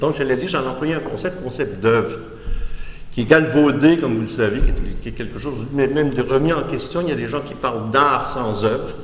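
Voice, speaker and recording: A man talks fairly quickly at a medium pitch, with ordinary pitch variation. Noticeable background noise and audible room echo surround him. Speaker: art critic and philosopher. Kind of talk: lecture. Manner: halting, with frequent restarts.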